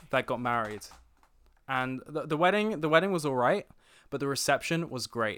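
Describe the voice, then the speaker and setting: On a very clean recording with a silent background, a man mumbles at a moderate pace with long, frequent pauses. His voice is fairly high, bright and sharp in tone, with lively intonation. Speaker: guest, film podcaster and producer. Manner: mumbles, casual.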